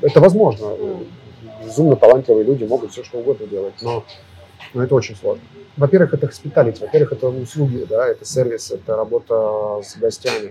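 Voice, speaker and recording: A man at a very fast pace with music in the background. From Russia. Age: 30s. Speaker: restaurant owner and chef. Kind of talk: interview. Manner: halting.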